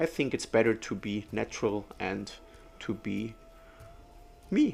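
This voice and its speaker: Someone with a German accent speaks while music plays in the background. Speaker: metal detectorist. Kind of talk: casual vlog commentary. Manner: unscripted, some stumbling.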